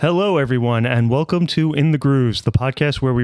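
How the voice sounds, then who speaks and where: The man has a plain, everyday voice with ordinary pitch variation. His pace is fairly quick. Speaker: podcast host. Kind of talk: casual banter podcast. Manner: casual, joking.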